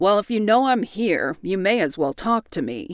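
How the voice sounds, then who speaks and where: In a growling, put-on character voice, a woman speaks at a moderate pace and a medium pitch. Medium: read story. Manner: blunt, plainspoken.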